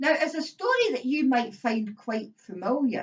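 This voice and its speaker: Her voice high, a woman talks at a very slow pace with lively intonation. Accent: Scottish. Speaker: storyteller. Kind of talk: casual talk to camera.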